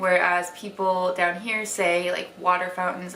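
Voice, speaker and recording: Audible room echo and noticeable background noise surround a woman with an American accent. She speaks at a medium pitch with monotone, flat intonation. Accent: Wisconsin accent, weakened. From Wisconsin, US Midwest (small town near Madison). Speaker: lifestyle vlogger. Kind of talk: casual vlog talk to camera. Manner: chatty, filler-heavy.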